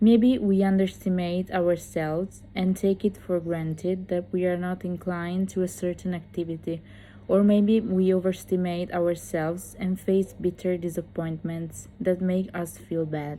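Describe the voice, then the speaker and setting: In an Italian accent, a woman speaks at a moderate pace and medium pitch with a dark, mellow tone, flat monotone intonation and hardly any pauses. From Italy. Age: 20s. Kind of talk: motivational talk to camera.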